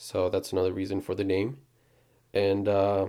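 In a very clean recording with a silent background, a man speaks with a dark, mellow tone, a fairly low pitch and monotone, flat intonation. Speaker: podcast host. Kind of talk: casual chat.

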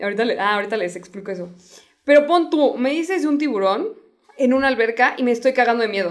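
A woman speaks in a Mexican accent at a high pitch. Her pace is very fast and her intonation lively. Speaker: podcast co-host. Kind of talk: casual chat.

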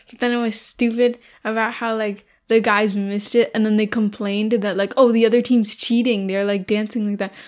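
A woman with an unremarkable speaking voice talks at a moderate pace in a fairly high pitch with fairly even intonation. The recording is very clean, with a silent background. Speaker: podcast co-host. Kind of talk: casual chat, movie review podcast.

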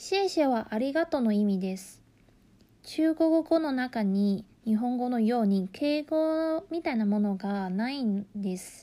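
Using very wide pitch swings, a woman with a Mandarin Chinese accent talks at a high pitch and a fairly slow pace. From Taiwan. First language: Mandarin Chinese (speaking Japanese). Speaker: language teacher. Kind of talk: tutorial.

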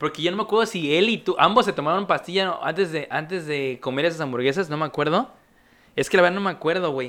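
A man with a Mexican accent, high-pitched and bright, sharp in tone, at a very fast pace. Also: ordinary pitch variation. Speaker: podcast host. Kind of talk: casual chat.

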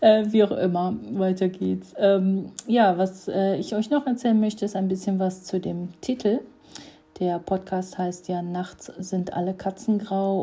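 At a moderate pace, a somewhat breathy woman with a dark, mellow tone talks at a medium pitch with fairly even intonation. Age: 30s. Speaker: podcaster. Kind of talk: casual monologue. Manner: hesitant, many filler sounds.

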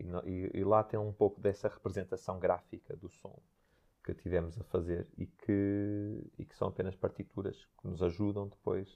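This man speaks with a fairly low pitch and a fairly even intonation. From northern Portugal, Santo Tirso. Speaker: dancer and choreographer. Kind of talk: interview. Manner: halting.

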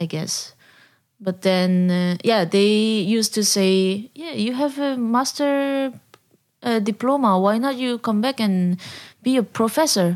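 A woman's fairly high voice in a Korean accent, fairly slow pace, ordinary pitch variation, a very clean recording with a silent background. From South Korea. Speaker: jazz drummer and band leader. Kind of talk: interview. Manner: halting.

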